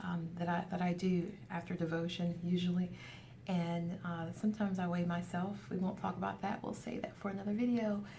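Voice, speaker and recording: Amid audible room echo and noticeable background noise, a woman with a fairly low voice speaks at a fairly quick pace in a monotone, flat tone. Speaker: weight loss vlogger. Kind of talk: casual video update. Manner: fast.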